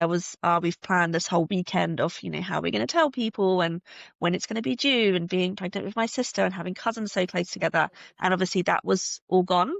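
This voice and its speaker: A woman talks at a very fast pace. She has a slight British accent. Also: medium pitch for a woman, ordinary pitch variation. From UK. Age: 30s. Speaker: podcast guest sharing fertility journey. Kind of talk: personal testimony in interview.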